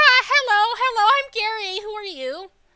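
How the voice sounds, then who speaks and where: A squeaky, put-on character voice at a moderate pace. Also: woman, extremely high pitch for a woman. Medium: game stream. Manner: broken grammar, talks of himself by name, repeats words; gruff, sarcastic.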